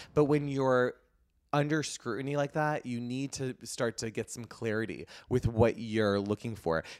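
A man speaks in an unremarkable speaking voice, medium in pitch, at a medium speed with ordinary pitch variation, on a very clean recording whose background is silent. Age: 30s. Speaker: eyebrow specialist and beauty entrepreneur. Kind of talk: casual chat.

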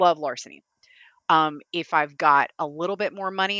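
Against a quiet background, a woman with a Kentucky accent speaks fairly slowly in a bright, sharp tone, her fairly low pitch showing ordinary variation. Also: dry, close sound with no echo. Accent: Kentucky Southern US. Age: 40s. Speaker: horror author. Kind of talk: casual chat. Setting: remote audio call. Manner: talkative, admits interrupting.

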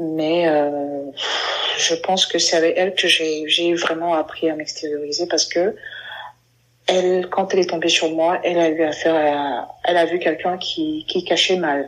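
Speaking at a fairly slow pace, a woman with a fairly low voice keeps a monotone, flat intonation and very even loudness. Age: 30s. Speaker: LGBT community member sharing her story. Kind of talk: interview testimony.

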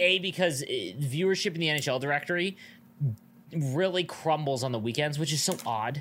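Here is a man with a plain, everyday voice and a fairly high pitch. His intonation is lively and his pace is moderate. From Canada, Niagara Falls. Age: 30s. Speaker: podcast co-host and streamer. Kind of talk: casual chat.

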